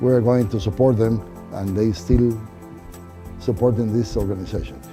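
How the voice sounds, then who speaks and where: A man with a Guatemalan accent at a moderate pace, medium pitch and ordinary pitch variation, with music in the background. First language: Spanish. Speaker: amusement park founder. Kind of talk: interview answer.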